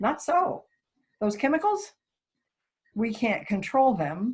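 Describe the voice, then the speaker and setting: A woman sounds somewhat breathy in a very clean recording with a silent background. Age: 60s. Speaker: worship associate. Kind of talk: sermon. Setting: recorded worship service.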